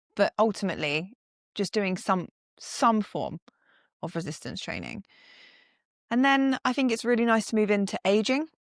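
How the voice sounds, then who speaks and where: A woman's fairly high voice at a moderate pace with long, frequent pauses, in a very clean recording with a silent background and a dry, close sound with no echo. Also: lively intonation. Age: 30s. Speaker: strength and conditioning coach. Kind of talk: casual chat.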